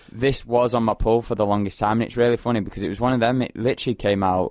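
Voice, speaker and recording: In a Mancunian accent, a man talks at a medium pitch and a very fast pace with ordinary pitch variation. The recording is very clean, with a silent background. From Manchester, England. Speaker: radio host. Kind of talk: casual chat.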